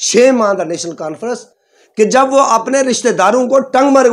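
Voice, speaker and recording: At a moderate pace, a man talks in an animated tone with lively intonation. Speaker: community leader. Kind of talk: political statement to press.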